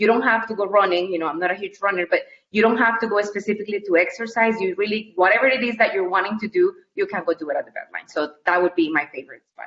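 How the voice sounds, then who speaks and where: A woman with a Colombian accent speaks at a medium pitch with ordinary pitch variation. Her pace is very fast, with hardly any pauses. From Colombia (Cali). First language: Spanish. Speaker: university staff member. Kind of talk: interview.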